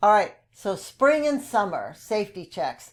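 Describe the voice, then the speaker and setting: On a very clean recording with a silent background, a woman speaks in a normal speaking voice at medium pitch and a fairly slow pace. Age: 60s. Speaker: podcast host, retired occupational therapist. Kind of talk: informational podcast talk. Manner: casual with frequent fillers.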